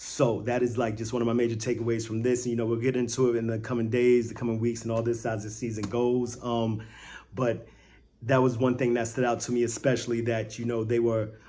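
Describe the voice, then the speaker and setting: A man with an American accent talks at a fairly quick pace in a medium pitch, with audible room echo. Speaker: sports fan video creator. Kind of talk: casual post-game reaction vlog. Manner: animated; loud.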